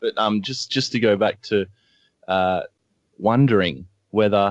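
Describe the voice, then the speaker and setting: With an Australian accent, the speaker talks at a fairly slow pace against a quiet background. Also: man. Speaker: blogger and media analyst. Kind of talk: radio interview.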